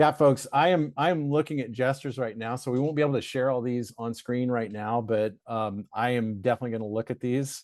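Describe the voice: The pitch moves in an ordinary way as someone gives a plain reading aloud.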